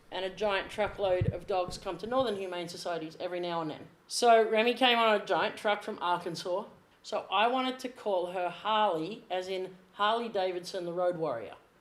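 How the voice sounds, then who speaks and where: With a strong Australian accent, a woman talks at a moderate pace with ordinary pitch variation. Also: medium pitch for a woman. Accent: Australian, strong enough to be misheard. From Australia, Sydney. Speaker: athletic trainer. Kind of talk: casual chat.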